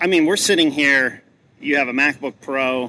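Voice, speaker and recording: An ordinary speaking voice proceeds at a moderate pace. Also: man. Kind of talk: casual interview chat. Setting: conference event interview.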